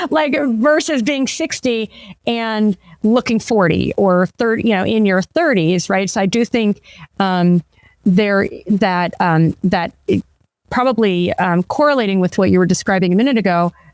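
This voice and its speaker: A woman's medium-pitched voice with lively intonation and very even loudness, at a moderate pace, with a dry, close sound and no echo. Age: 50s. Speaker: podcast host. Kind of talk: interview conversation. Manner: animated.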